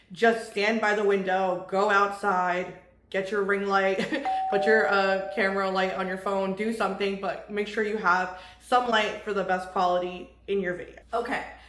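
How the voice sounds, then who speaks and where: A woman with a medium pitch speaks in an animated tone, with noticeable background noise and audible room echo. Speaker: vlogger. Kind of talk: tutorial. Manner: fast.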